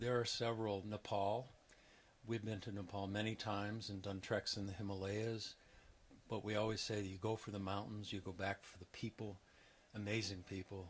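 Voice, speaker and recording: Somewhat breathy and fairly low, a man's voice moves at a moderate pace. His intonation stays flat and monotone. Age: 60s. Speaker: retiring geography professor. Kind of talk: interview.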